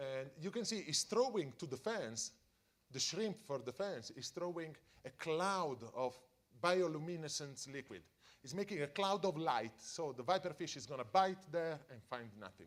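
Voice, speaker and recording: A man with an Italian accent at a moderate pace, fairly high in pitch, with very wide pitch swings. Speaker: deep-sea scientist. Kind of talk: public science talk for families. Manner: halting.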